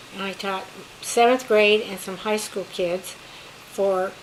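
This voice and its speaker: In an American accent, a woman speaks at a fairly slow pace with a medium pitch and a monotone, flat intonation, with audible room echo and noticeable background noise. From California. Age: 80s+. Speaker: retired teacher, grandmother. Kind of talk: family interview, personal history.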